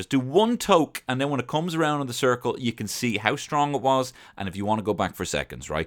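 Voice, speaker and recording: A man with an Irish accent speaks at a fairly quick pace in an animated tone, his pitch swinging very widely. The recording is very clean, with a silent background. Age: 30s. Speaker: podcast host. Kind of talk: casual monologue.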